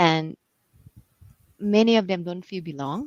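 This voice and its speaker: A woman speaks with a Thai accent in a fairly low pitch and ordinary pitch variation, the sound dry and close with no echo. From Thailand. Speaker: executive coach. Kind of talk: interview. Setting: livestream.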